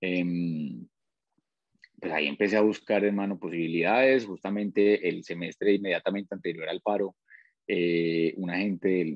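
This man has a very deep, low pitch. His pitch moves an ordinary amount. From Colombia, Pitalito, Huila. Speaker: plant biotechnologist. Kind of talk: casual interview. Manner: halting, repeats words.

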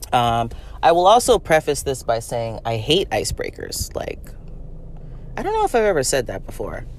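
With noticeable background noise behind her, a woman speaks at a moderate pace, leaving long, frequent pauses. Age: 30s. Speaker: podcast host. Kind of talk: casual monologue. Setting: in a car. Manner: casual, many fillers and laughs.

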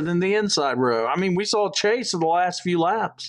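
At a moderate pace, a man with a high pitch speaks with ordinary pitch variation. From South Georgia. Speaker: podcast co-host. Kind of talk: casual chat. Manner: animated.

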